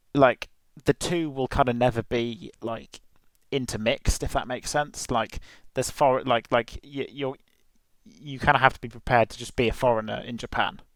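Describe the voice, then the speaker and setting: On a very clean recording with a silent background and a dry, close sound with no echo, a man with a British accent speaks at a moderate pace with fairly even intonation. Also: medium pitch for a man. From UK. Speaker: podcast host, exchange student. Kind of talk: casual chat. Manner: halting, many fillers. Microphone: headset mic, poor audio.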